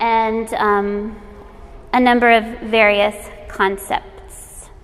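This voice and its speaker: A woman's fairly high-pitched voice. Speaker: arts educator, nonprofit director. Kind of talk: workshop presentation. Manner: halting, self-correcting.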